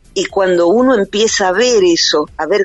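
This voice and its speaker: A woman with a Rioplatense accent and very wide pitch swings, music in the background. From Buenos Aires, Argentina. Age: 50s. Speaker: psychologist and author. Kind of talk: interview.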